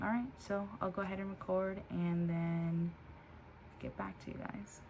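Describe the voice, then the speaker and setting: A soft-spoken woman talks at a fairly slow pace in a fairly low pitch with ordinary pitch variation and long, frequent pauses, with noticeable background noise and audible room echo. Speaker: vlogger sharing weight-loss surgery recovery. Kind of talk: casual vlog.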